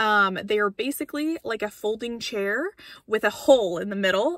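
Over a quiet background, a woman speaks at a moderate pace in a bright, sharp tone, the sound dry with no echo. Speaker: car-living vlogger. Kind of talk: casual vlog chat. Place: car. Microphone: phone near.

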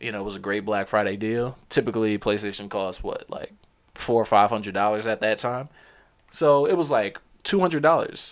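A man talks at a moderate pace with an American accent and ordinary pitch variation. The background is quiet. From New Jersey, Perth Amboy; New Jersey. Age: 20s. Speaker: podcast host. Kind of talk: casual solo monologue. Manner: casual, with many fillers. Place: home room. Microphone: studio mic.

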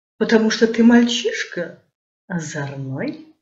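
A woman's fairly high voice at a very slow pace, with very wide pitch swings, audible room echo and a quiet background. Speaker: theatre director and actress. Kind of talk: poetry reading. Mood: playful, expressive. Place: home room. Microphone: webcam.

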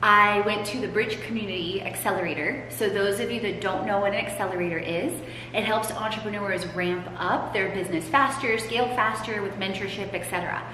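With hardly any pauses, a woman at medium pitch talks at a fairly quick pace with ordinary pitch variation, amid audible room echo and light background noise. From Poland. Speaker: podcast host and transformation coach. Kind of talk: casual interview chat. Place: hall. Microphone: camera far.

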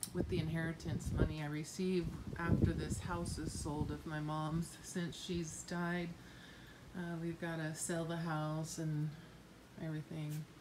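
A woman talks fairly slowly while noticeable background noise plays behind her. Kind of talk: casual vlog tour. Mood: calm, matter-of-fact. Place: garage. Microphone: phone near.

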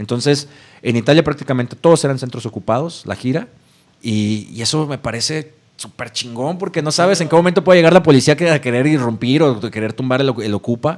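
With an ordinary speaking voice, a man talks at a fairly quick pace, fairly high in pitch with ordinary pitch variation. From Mexico, Tepic, Nayarit. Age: 30s. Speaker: punk band vocalist. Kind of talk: casual interview chat.

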